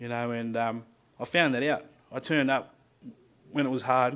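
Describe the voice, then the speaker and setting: A man speaks with an Australian accent. His intonation is flat and monotone. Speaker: power line worker. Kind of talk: speech. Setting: stage with audience. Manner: halting. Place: hall. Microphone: podium.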